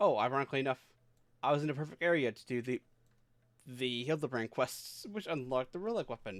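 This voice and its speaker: A man's medium-pitched, very fast speech with lively intonation, broken by long, frequent pauses. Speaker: vtuber streamer. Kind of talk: casual chat.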